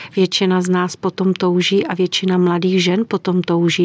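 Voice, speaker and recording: This woman talks at a moderate pace with a medium pitch and a monotone, flat intonation. The sound is dry and close with no echo, though background noise is noticeable. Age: old. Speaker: sexologist and psychologist. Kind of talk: interview.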